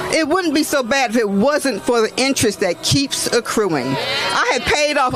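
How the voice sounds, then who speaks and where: A woman's moderately paced, high-pitched speech over noticeable background noise. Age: 60s. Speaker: retired nurse and activist speaker. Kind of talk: prepared speech at a rally. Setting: outdoors at a protest.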